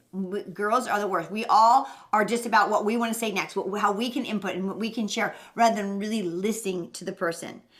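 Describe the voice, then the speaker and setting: Over noticeable background noise, a woman talks at a fairly quick pace with hardly any pauses. Her medium-pitched voice has fairly even intonation. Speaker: parenting show co-host. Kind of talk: casual chat. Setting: live stream. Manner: fast.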